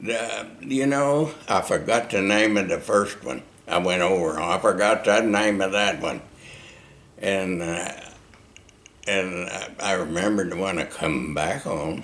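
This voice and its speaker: The speaker has an American accent and ordinary pitch variation, talking at a fairly slow pace. Noticeable background noise runs beneath the voice. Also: man, fairly low pitch for a man. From Oklahoma, USA. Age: 80s+. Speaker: war veteran. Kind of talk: interview answer.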